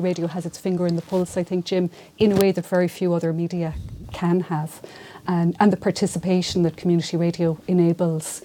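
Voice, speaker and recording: A woman's fairly low, dark and mellow voice with a Mayo accent, monotone and flat in intonation, at a fairly quick pace. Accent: Irish, Mayo. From Ireland, County Mayo. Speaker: local newspaper journalist. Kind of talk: panel discussion. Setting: university room.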